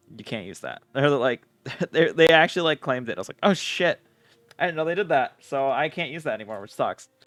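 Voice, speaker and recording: Very fast and full of vocal fry, a man with an American accent speaks at a fairly high pitch with lively intonation and big swings in loudness, in a dry, close sound with no echo. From United States. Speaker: streamer building model kits. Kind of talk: casual livestream chat.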